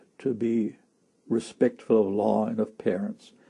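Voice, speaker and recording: A man's fairly slow delivery at medium pitch, with vocal fry, a dark, mellow tone and ordinary pitch variation. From Germany, Berlin. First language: German. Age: 70s. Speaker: war witness, former Hitler Youth member. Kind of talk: interview testimony. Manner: halting, repetitive.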